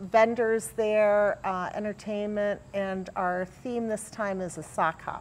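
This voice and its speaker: Speaking very slowly, a woman with a medium-pitched voice keeps her intonation fairly even. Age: 60s. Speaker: magazine editor. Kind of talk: talk show interview. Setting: community center talk show set.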